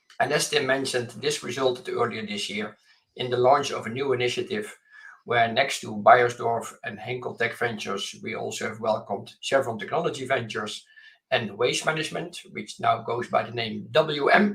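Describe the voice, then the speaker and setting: A moderate pace with a Dutch accent, ordinary pitch variation and big swings in loudness. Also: man, medium pitch for a man. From Netherlands. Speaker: venture capital investor. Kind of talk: panel discussion. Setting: remote call from home office.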